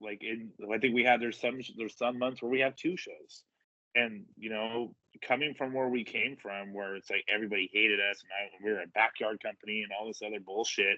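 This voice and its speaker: Speaking at a fairly quick pace, a man keeps a medium pitch and fairly even intonation while his loudness swings widely. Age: 30s. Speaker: professional wrestler. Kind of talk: podcast interview. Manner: casual, halting with repetitions.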